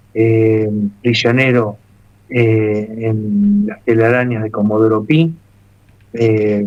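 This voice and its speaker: The man's medium-pitched voice holds a fairly even intonation. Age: 60s. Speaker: military family member, political commentator. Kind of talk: radio interview.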